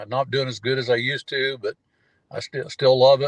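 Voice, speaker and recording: A man speaks in a medium pitch. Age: 70s. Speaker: tournament bass angler. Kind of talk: podcast interview. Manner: halting, many fillers and repeats.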